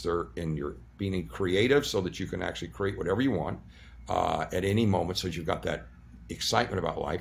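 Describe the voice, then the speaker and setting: A man talks at a fairly quick pace with lively intonation. His voice has vocal fry. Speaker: surgeon and energy-practice teacher interviewed as a guest. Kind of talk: interview answer, explanatory talk.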